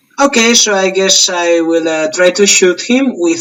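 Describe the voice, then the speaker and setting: The speaker has a Spanish accent and a moderate pace. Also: man. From Spain. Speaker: tabletop wargame player. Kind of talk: casual game play chat.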